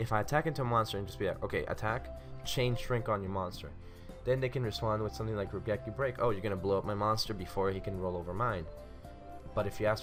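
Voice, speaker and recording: Over music in the background, a man with a fairly low pitch talks at a very fast pace with lively intonation. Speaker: card game tutorial host. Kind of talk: casual tutorial talk.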